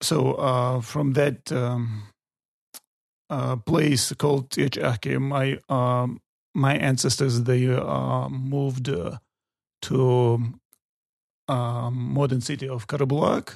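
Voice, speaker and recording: Speaking very slowly with long, frequent pauses, a man with a Chechen accent keeps to a medium pitch. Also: fairly even intonation. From Chechnya, North Caucasus. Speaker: tour guide. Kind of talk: interview. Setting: studio. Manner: halting, many fillers.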